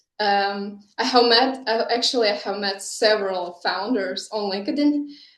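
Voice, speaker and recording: Ordinary pitch variation and a moderate pace come through audible room echo. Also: woman, fairly high pitch for a woman. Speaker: startup founder. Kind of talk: conference talk.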